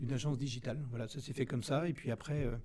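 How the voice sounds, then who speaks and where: Intonation is flat and monotone throughout. The voice has a dark, mellow tone. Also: man. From Brittany, France (Rennes). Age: 50s. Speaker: business owner. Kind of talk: interview.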